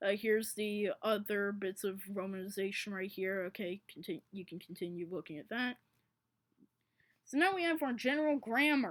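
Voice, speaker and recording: This woman's voice moves in very wide pitch swings. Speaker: conlang hobbyist presenting a constructed language. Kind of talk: tutorial. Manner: halting.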